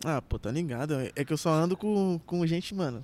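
This man's fairly high-pitched voice moves at a moderate pace. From Brazil, Carapicuíba, São Paulo state. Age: 20s. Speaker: trap artist. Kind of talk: casual chat.

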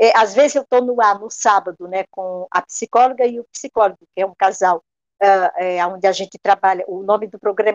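A woman keeps a moderate pace and medium pitch in an ordinary speaking voice, her pitch varying in an ordinary way. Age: 60s. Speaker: radio broadcaster. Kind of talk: interview.

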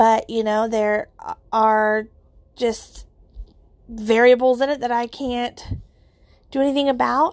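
At a fairly slow pace, a woman speaks with fairly even intonation and long, frequent pauses. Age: 30s. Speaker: podcast host. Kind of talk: personal reflection monologue. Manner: casual, filler-heavy.

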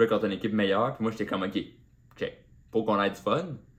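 A man with a Quebec accent, very fast delivery, fairly low pitch and fairly even intonation. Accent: Québécois French. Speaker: comedian. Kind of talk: solo podcast monologue.

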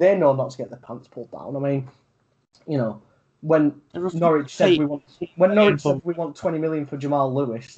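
Talking at a fairly slow pace in a Yorkshire accent, a man shows big swings in loudness and ordinary pitch variation. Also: fairly high pitch for a man. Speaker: podcast co-host. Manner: casual, frequent fillers, swears.

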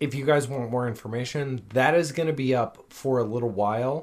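With an ordinary speaking voice, a man talks at a moderate pace and medium pitch in a very clean recording with a silent background. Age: 30s. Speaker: fitness podcast co-host. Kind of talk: casual chat.

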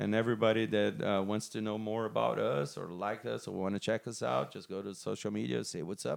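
With a Portuguese accent, a man talks at a fairly quick pace with hardly any pauses. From Brazil. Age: 40s. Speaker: metal band musician. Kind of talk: casual interview.

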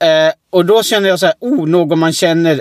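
A man talks with normal rises and falls in pitch and at a medium speed. No echo colors the dry, close-miked sound. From Oskarshamn area, Sweden. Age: 30s. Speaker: podcast co-host. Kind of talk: casual chat.

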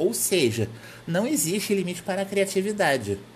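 A man talks with an unremarkable speaking voice. His moderate pace carries lively intonation. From Brazil, Rio de Janeiro. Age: 20s. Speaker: podcast host and website editor. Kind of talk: solo podcast monologue.

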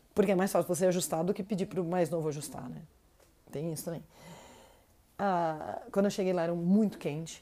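A woman speaks at a fairly quick pace in an animated tone, her pitch fairly low with ordinary variation. Long pauses come often. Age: 30s. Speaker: travel podcaster. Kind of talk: casual storytelling monologue.

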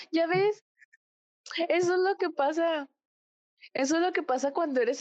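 Against a quiet background, a woman speaks in an animated tone with a dry, close sound and no echo. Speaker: podcast guest, K-pop fan. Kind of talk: casual chat.

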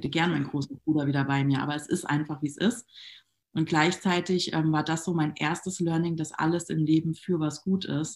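A woman's very deep, low voice at a fairly quick pace, with fairly even intonation, on a very clean recording with a silent background. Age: 30s. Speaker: network marketing entrepreneur. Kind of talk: casual interview.

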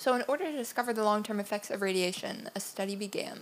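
A woman talks at a very fast pace in a fairly high voice. Her pitch varies in an ordinary way. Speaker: podcast co-host. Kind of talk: casual chat.

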